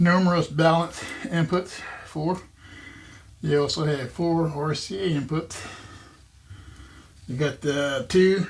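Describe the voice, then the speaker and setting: A man's somewhat breathy voice. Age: 60s. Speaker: audio equipment YouTuber. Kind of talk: casual product review to camera. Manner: casual, halting with fillers.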